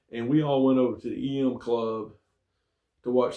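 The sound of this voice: A man with a medium pitch speaks with fairly even intonation.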